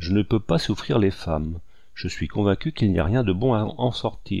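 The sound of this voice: The reading is delivered in an unforced voice.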